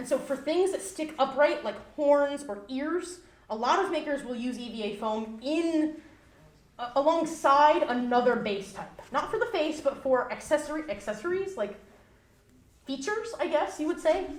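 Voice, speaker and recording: Loud and lively in intonation, a woman speaks in a high voice with audible room echo and noticeable background noise. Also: moderate pace. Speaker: fursuit maker giving convention panel. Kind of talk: convention panel presentation. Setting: live panel room with audience.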